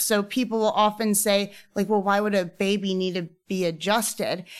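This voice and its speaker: A woman speaks in a medium pitch at a moderate pace with fairly even intonation. The recording is very clean with a silent background. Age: 30s. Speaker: chiropractor. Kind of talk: interview.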